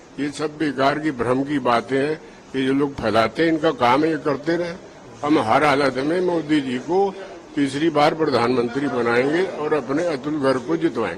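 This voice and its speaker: A man's fairly high pitch with ordinary variation, set against noticeable background noise. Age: 70s. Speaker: voter. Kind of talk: street interview.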